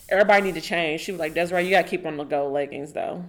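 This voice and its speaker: A woman with an American accent speaks in a normal speaking voice. Her pitch is fairly low and her intonation fairly even. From Oklahoma, US. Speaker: podcast guest. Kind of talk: casual interview chat.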